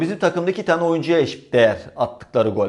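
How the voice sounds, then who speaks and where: Over a quiet background, a man speaks at a high pitch with very wide pitch swings. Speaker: football YouTuber, fan commentator. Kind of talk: solo football commentary vlog. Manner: fast when excited.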